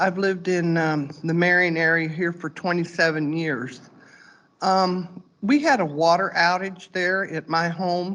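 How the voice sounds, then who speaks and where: Against a quiet background, a woman talks at a fairly slow pace in a plain, everyday voice. Her pitch is fairly low, with ordinary variation. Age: 60s. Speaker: resident making public comment. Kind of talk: public comment at board meeting. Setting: board meeting room.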